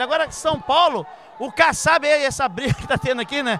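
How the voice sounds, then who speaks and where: A man uses a raised, projected voice in a dry sound with no echo and light background noise. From Brazil. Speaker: interviewer at a jiu-jitsu event. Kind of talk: casual interview. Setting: sports gym, event venue. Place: hall. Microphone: handheld.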